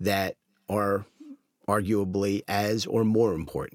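A man with an American accent talks at a fairly low pitch in an ordinary speaking voice. The recording is very clean, with a silent background. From US. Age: 50s. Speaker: advertising festival founder. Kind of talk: casual chat.

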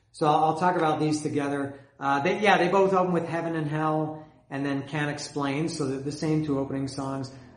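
A man talks at a moderate pace with a fairly high pitch. His intonation is flat and monotone, with noticeable background noise. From Canada. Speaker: music fan video host. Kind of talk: solo video monologue about bands. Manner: rambling, casual, with filler words.

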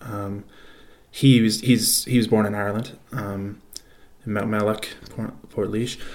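With a Canadian accent, a man speaks at a fairly slow pace. His pitch is fairly low and his intonation is monotone and flat. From Canada. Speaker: podcast host. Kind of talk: recorded personal story.

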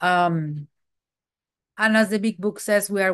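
A woman speaks with a Mexican accent. Her pitch is medium, and the background is quiet. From Mexico. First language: Spanish. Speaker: twelve-step meeting speaker. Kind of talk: recovery testimony. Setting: video call.

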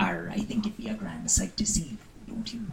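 Over light background noise, a woman puts on a character voice at a moderate pace.

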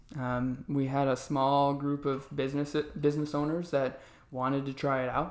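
In an American accent, a man speaks at a fairly high pitch. His intonation is monotone and flat. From Arizona. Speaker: financial business owner. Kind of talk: interview.

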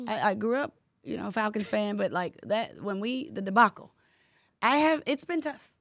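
The speaker has an American accent, an animated tone and lively intonation, talking at a moderate pace. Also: woman, fairly high pitch for a woman. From Atlanta area, Georgia (Decatur). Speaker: podcast host. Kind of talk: casual interview chat. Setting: studio.

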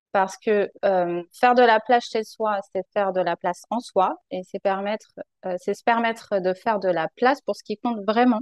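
A woman speaks at a medium pitch, at a moderate pace, with ordinary pitch variation. Her loudness swings widely, and the sound is dry and close with no echo. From France, Paris region. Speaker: professional organizer. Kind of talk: interview. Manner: hesitant.

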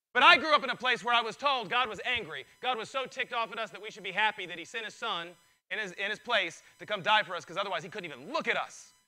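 Raised and projected, a man's high-pitched voice races at a very fast pace with an animated, bright, sharp tone, lively intonation and big swings in loudness. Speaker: pastor. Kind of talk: sermon.

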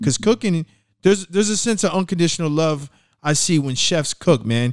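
Recorded very cleanly with a silent background and a dry, close sound with no echo, a man with a plain, everyday voice talks at a fairly high pitch and fairly quick pace. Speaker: podcast host. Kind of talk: casual podcast interview. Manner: casual, slangy, conversational.

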